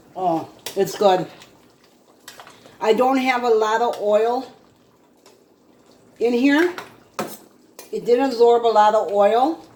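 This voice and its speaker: The speech moves at a very slow pace with long, frequent pauses, over noticeable background noise. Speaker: home cooking video host. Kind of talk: cooking tutorial. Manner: casual, chatty.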